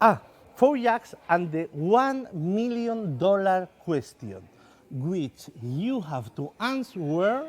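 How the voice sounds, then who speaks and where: Speaking very slowly in a Spanish accent, the voice makes very wide swings in pitch. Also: man. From southern Spain. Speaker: magician. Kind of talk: stage magic performance. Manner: halting, hesitant.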